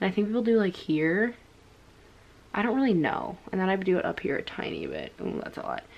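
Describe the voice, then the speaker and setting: Noticeable background noise sits behind a voice with ordinary pitch variation at a fairly quick pace. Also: woman, medium pitch for a woman. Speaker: beauty vlogger, mom. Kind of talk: makeup tutorial. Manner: casual, rambling with fillers.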